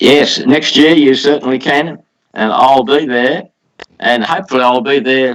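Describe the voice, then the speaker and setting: An Australian-accented man at a moderate pace, with ordinary pitch variation. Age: 80s+. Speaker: poultry exhibitor. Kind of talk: interview answer.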